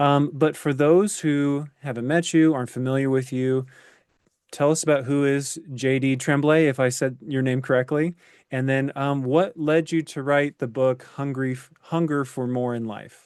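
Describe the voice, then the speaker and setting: A man with an American accent and an ordinary speaking voice, fairly high in pitch, talks at a moderate pace with fairly even intonation against a quiet background. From United States. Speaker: podcast host, psychologist. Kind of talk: interview conversation.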